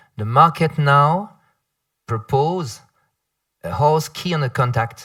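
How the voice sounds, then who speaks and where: A man talks with a French accent. His pitch variation is ordinary. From France. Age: 50s. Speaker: panel moderator. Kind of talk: panel discussion. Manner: halting.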